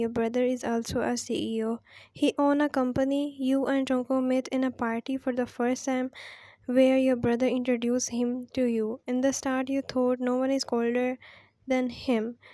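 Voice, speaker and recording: At a moderate pace, a woman with a non-native accent speaks at a high pitch in a dark, mellow tone with monotone, flat intonation, recorded with a dry, close sound and no echo. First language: not English. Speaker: fan fiction narrator. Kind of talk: reading aloud a fan fiction story. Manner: halting with self-corrections.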